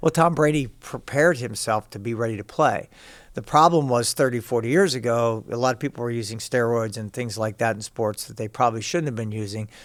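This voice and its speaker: On a very clean recording with a silent background, a man with a plain, everyday voice and an American accent talks at a fairly quick pace, with a medium pitch and ordinary pitch variation. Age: 60s. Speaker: fitness coach. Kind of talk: interview.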